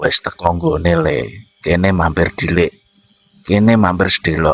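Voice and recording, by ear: Using a hoarse, put-on character voice at a very deep, low pitch, a man speaks at a moderate pace with a dry, close sound and no echo.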